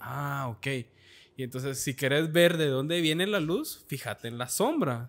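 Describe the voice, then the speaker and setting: A man with an ordinary speaking voice and a fairly high pitch speaks at a fairly slow pace with ordinary pitch variation, in a very clean recording with a silent background. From Guatemala, Esquipulas. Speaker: photographer. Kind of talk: casual chat.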